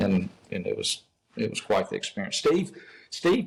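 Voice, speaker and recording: A man speaks in an Alabama accent. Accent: Southern US (Alabama). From US South, Mobile, Alabama. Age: 60s. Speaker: golf professional and instructor. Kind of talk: casual interview chat. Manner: halting, many fillers and repeats.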